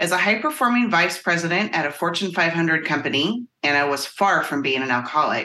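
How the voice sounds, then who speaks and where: Her voice unremarkable, a woman speaks at a moderate pace with a fairly low pitch and lively intonation. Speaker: life coach. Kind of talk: casual chat.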